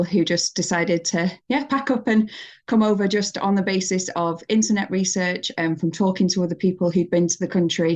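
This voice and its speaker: With a northern English accent, a woman talks at a moderate pace with hardly any pauses and very even loudness. Her pitch is medium with ordinary variation, set against a quiet background. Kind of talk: casual, friendly. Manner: warm, conversational.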